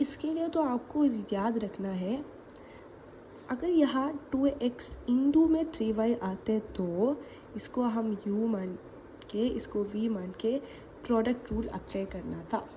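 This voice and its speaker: A woman's fairly high voice with a Malayali accent and lively intonation, over noticeable background noise. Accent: Malayali accent in Hindi. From Kerala, India. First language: Malayalam (speaking Hindi). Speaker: maths teacher. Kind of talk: tutorial. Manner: casual, conversational.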